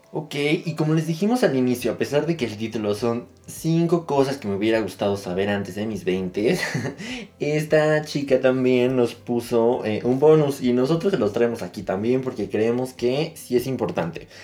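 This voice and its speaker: Despite noticeable background noise, a man with a medium pitch comes through at a moderate pace with lively intonation. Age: 20s. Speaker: podcast co-host. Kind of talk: casual chat.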